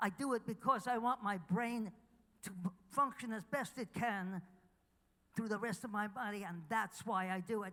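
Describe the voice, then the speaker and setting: A woman with a fairly high pitch speaks at a moderate pace. Her tone is bright and sharp. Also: ordinary pitch variation. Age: 80s+. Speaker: chiropractic teacher receiving award. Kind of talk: award acceptance speech. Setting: stage with audience.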